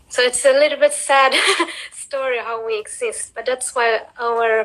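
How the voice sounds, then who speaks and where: A woman speaks in a high voice with a Swedish accent. Her pace is moderate. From Sweden. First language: Cape Verdean Creole. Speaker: interview guest. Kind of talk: casual chat.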